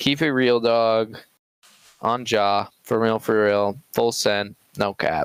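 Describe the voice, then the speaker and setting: On a very clean recording with a silent background and a dry, close sound with no echo, a man speaks at a very slow pace and medium pitch, with fairly even intonation and very even loudness. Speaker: podcast co-host. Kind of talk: casual chat. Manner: soft-spoken.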